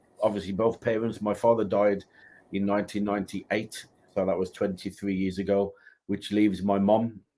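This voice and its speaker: A man speaks in a West Midlands accent with a fairly low pitch and a dark, mellow tone. His intonation is monotone and flat, on a very clean recording with a silent background. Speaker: minister, guest speaker. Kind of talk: interview.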